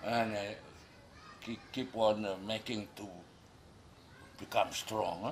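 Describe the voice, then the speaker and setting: A man speaks very slowly at a fairly low pitch, his intonation monotone and flat. Long, frequent pauses break his speech over noticeable background noise. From Micronesia, Yap outer islands. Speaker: cultural leader, storyteller. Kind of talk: traditional legend told in interview. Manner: hesitant, many fillers.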